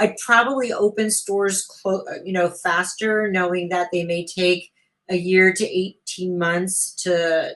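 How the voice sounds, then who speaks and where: A woman's ordinary speaking voice, medium in pitch, with fairly even intonation. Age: 60s. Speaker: business founder and CEO. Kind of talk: interview.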